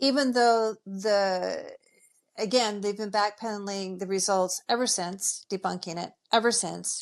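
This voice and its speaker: A woman's medium-pitched voice at a moderate pace, ordinary pitch variation, very clean recording with a silent background. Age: 60s. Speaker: functional medicine nutritionist. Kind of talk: podcast interview. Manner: animated.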